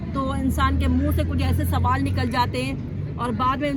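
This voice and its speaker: A stern, angry tone with audible room echo and crowd noise in the background. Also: woman. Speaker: bike driving trainer. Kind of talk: tutorial. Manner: sounds stern, as if angry.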